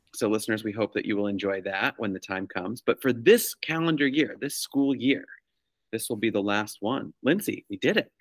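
Using a normal speaking voice, a man with an American accent talks fairly quickly at medium pitch with ordinary pitch variation, in a dry, close sound with no echo on a very clean recording with a silent background. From New York. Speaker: school-based clinician and podcast host. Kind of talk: casual chat.

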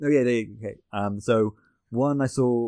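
A man with a British accent and fairly even intonation, against a quiet background. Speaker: animator. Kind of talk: casual chat. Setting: remote call with headphones.

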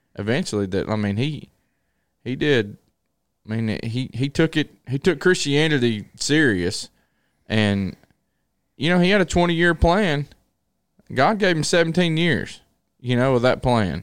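Loud and fairly high-pitched, a man with a Southern US accent talks at a fairly slow pace with long, frequent pauses and very wide pitch swings, in a very clean recording with a silent background. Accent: US South. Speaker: preacher. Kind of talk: casual chat.

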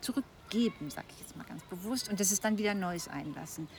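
Her voice is somewhat breathy, and this woman uses ordinary pitch variation. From East Frisia, northern Germany. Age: 60s. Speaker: retired corporate manager. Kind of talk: casual conversation. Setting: outdoors.

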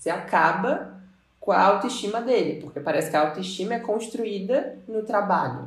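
Audible room echo surrounds the voice. It moves at a moderate pace with lively intonation. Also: woman, medium pitch for a woman. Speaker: podcast host. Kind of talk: casual chat.

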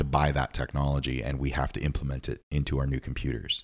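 There is vocal fry in this voice. The delivery is neither fast nor slow, at a moderate pace. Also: man. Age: 30s. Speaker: podcast host. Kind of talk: casual chat.

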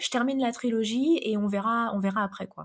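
A woman speaks in an ordinary speaking voice at a fairly high pitch. Her intonation is lively and her pace moderate. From France. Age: 30s. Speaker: fantasy novelist. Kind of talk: interview.

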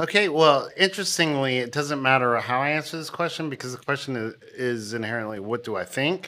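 With an American accent, a man has an unremarkable speaking voice at a medium pitch with ordinary pitch variation. He talks at a fairly quick pace with hardly any pauses. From US, Kentucky. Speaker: podcast guest. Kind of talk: casual chat.

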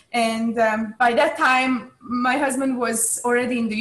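A woman with a Hungarian accent speaks at a high pitch with fairly even intonation over noticeable background noise. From Hungary. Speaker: chess club staff. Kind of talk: interview.

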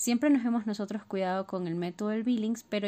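A woman's dark, mellow voice at medium pitch, very fast, with ordinary pitch variation, on a very clean recording with a silent background. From Ecuador. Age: 30s. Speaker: listener sharing story. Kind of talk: personal testimony. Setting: recorded voice message.

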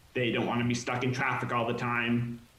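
A man talks at a mid-range pitch. The room gives his words a noticeable echo. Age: 20s. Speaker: software project lead running for mayor. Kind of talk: casual chat.

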